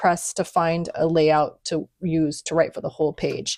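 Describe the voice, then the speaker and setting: This woman's voice is recorded with a dry, close sound and no echo, very clean, with a silent background. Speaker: planner and journaling content creator. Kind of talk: casual flip-through tutorial. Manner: casual, filler-heavy; fast.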